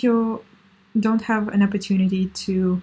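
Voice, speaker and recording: Speaking with a Russian accent, a woman sounds somewhat breathy, with a dark, mellow tone and monotone, flat intonation. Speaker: language learning vlogger. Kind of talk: casual tips monologue. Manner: halting, many fillers.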